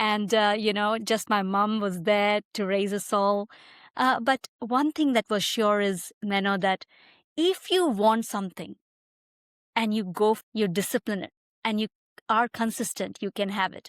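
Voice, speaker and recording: A woman with a Tamil accent speaks fairly slowly at a medium pitch, her intonation fairly even. The recording is very clean with a silent background, its sound dry and close with no echo. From India, near Mumbai (western India). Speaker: migration advisor. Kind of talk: podcast interview.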